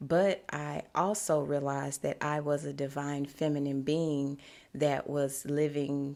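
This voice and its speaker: The voice has a Louisiana accent and monotone, flat intonation. The recording is very clean, with a silent background. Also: woman. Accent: Southern US (Louisiana). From US South, Shreveport, Louisiana. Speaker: podcast host, spiritual wellness coach. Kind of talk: podcast monologue. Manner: casual, conversational.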